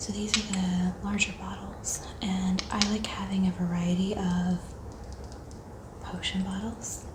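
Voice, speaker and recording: A soft-spoken woman's flat, monotone delivery over noticeable background noise. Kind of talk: ASMR haul, casual talk to camera.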